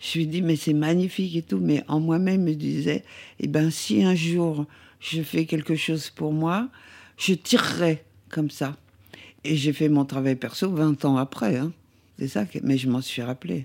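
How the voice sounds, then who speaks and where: Recorded very cleanly against a silent background, a woman with a very deep, low voice speaks at a fairly slow pace with ordinary pitch variation and long, frequent pauses. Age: 70s. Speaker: photographer. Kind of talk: interview storytelling. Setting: at home, kitchen. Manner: halting.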